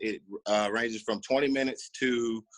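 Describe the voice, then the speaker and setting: The speaker has an unremarkable speaking voice with fairly even intonation. The sound is dry and close, with no echo. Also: man. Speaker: podcast host. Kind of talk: casual chat. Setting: video call.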